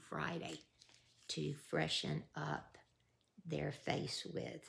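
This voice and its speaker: With a Southern US accent, a woman is talking. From US South. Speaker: YouTube creator running a giveaway. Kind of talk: casual vlog giveaway announcement. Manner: warm, emotional. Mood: warm, nostalgic. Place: home room. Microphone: phone near.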